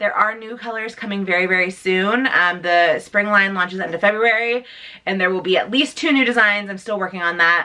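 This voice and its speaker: A woman speaks at a fairly quick pace. Her pitch is medium, with ordinary variation. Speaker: beauty and lifestyle youtuber. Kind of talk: casual vlog chat. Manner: fast.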